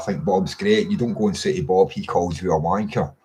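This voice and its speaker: A man with a Scottish accent speaks at a moderate pace, his pitch rising and falling in an ordinary way. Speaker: political commentator. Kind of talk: casual monologue. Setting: webcam recording at home. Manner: halting, many fillers and repeats.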